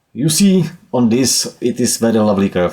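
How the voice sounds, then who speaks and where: With a Czech accent, a man speaks at a moderate pace in a dark, mellow tone. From Czech Republic. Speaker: DIY solar power enthusiast, YouTuber. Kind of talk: casual tutorial walkthrough. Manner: hesitant, frequent uh fillers.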